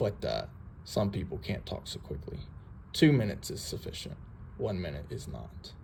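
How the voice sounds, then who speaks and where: A man talks at a moderate pace with long, frequent pauses and big swings in loudness, and audible echo fills the room. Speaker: citizen auditor. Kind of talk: casual public records request at office counter.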